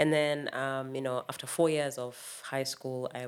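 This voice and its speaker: A woman talks at a moderate pace with fairly even intonation. Her pitch is very deep and low. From Kenya (Makueni County, eastern Kenya). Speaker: percussionist. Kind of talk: interview.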